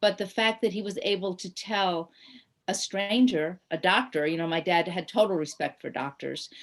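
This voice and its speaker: A woman talks in a plain, everyday voice at a medium pitch and a moderate pace against a quiet background. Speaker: writer and poet. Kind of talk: radio interview.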